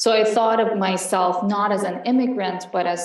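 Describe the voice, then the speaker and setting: A woman with an Iranian accent speaks at a moderate pace and medium pitch with fairly even intonation. Noticeable background noise and audible room echo surround her. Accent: Iranian (Persian) accent in English. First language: Farsi. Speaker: panelist. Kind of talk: panel discussion. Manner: hesitant, many fillers.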